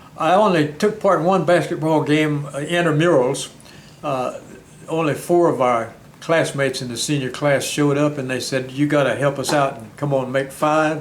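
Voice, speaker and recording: Fairly high pitch from a man in an American accent, with fairly even intonation, a moderate pace, audible room echo and noticeable background noise. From US South. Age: 90s. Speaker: war veteran and retired county clerk. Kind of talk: interview.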